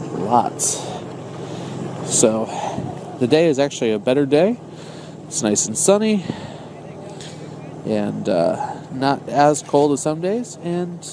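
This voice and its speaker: A man's very slow speech with long, frequent pauses and very wide pitch swings, under noticeable background noise. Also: fairly high pitch for a man. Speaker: ice fisherman. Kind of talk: casual outdoor vlog talk to camera. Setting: outdoors.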